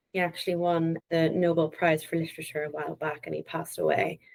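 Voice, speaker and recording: A woman with an Irish accent speaks at a fairly quick pace. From Northern Ireland. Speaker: data analytics consultant. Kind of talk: interview.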